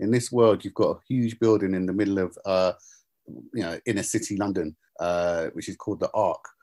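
Recorded very clean over a silent background, with a dry, close sound and no echo, a man speaks at a fairly quick pace with a fairly low pitch, a dark, mellow tone and ordinary pitch variation. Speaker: author and screenwriter. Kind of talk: interview. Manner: halting, many fillers.

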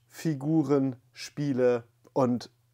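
Over a quiet background, a man is talking. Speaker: collector channel host. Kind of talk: casual vlog intro. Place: home room. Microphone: lapel.

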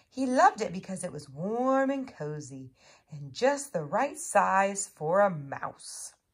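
Straightforward reading aloud

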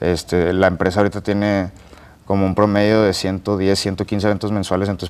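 This man speaks with a fairly low voice. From Monterrey, northern Mexico; Mexico. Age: 20s. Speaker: barbecue cook and content creator; content creator. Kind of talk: interview. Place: studio.

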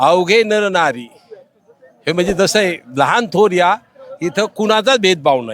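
With lively intonation, a man talks in a high register. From Maharashtra, Pune area. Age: 60s. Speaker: retired government technical officer, pilgrim. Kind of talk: interview. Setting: outdoors.

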